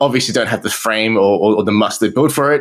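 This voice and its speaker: Talking very fast, a man with an Australian accent uses a fairly low pitch. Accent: thick Australian. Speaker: marketing entrepreneur. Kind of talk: interview.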